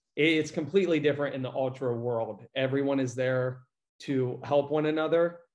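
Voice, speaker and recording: In an American accent, a man speaks at a moderate pace and a fairly high pitch. He has an ordinary speaking voice with fairly even intonation. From rural Iowa. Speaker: fitness and running coach. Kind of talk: casual interview.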